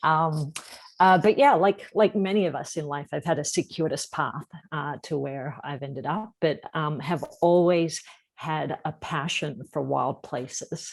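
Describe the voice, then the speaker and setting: A woman with a slight Australian accent talks at a fairly slow pace in a very deep, low pitch with ordinary pitch variation. The recording is very clean, with a silent background. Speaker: environmental nonprofit founder. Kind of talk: interview.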